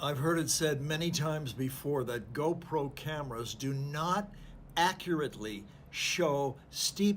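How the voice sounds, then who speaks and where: The speech comes at a very slow pace. The voice is somewhat breathy. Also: man. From Canada. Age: 70s. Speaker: travel vlogger, cycle tourist. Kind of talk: travel vlog narration. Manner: casual, halting with fillers.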